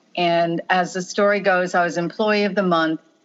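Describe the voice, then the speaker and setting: A woman with an American accent and an unremarkable speaking voice talks at a fairly slow pace, her fairly low pitch held in fairly even intonation. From Long Island, New York. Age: 60s. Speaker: marketing executive. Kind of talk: casual interview chat.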